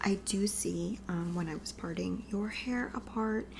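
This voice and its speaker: A soft-spoken woman with a gentle tone talks at a medium pitch. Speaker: ASMR creator doing a roleplay scalp examination. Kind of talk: ASMR roleplay, personal attention. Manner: soft-spoken, gentle.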